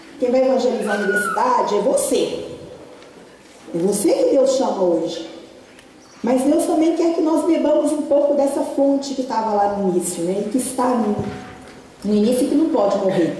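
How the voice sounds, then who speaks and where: In a Minas Gerais accent, a woman speaks at a high pitch with very wide pitch swings and very even loudness, taking long, frequent pauses amid noticeable background noise and audible room echo. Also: moderate pace. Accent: Brazilian Portuguese, Minas Gerais (mineiro). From Brazil, Minas Gerais (Governador Valadares). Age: 30s. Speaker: lay preacher, photographer and lecturer. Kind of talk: sermon / testimony at youth event.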